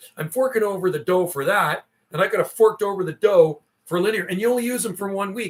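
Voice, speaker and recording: A high-pitched male voice, animated in tone, fairly quick, with ordinary pitch variation. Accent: western Canadian. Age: 50s. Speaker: CB radio operator and livestreamer. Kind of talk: casual chat.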